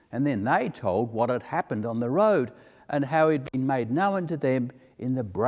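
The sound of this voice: The voice reads aloud. Its delivery sounds unforced.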